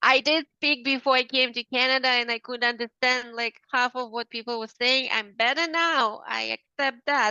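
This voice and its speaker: A woman's high-pitched voice with a non-native accent, fairly even intonation and a moderate pace. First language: not English. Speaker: business coach. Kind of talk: coaching demo.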